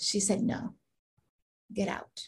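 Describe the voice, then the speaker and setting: A woman speaks in a somewhat breathy voice. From Guatemala. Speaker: executive coach and veteran. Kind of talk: interview, personal storytelling.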